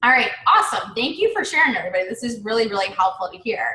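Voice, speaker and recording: This woman has a fairly high pitch and a bright, sharp tone. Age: 40s. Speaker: business coach. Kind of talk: live webinar. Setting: live online webinar. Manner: animated.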